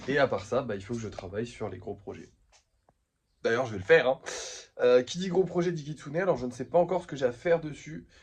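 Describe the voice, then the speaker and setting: The speaker goes at a very fast pace with lively intonation and a somewhat breathy sound, breaking into long, frequent pauses as the loudness swings a lot. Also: man, medium pitch for a man. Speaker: vlogger and craft maker. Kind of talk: casual vlog. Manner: soft-spoken.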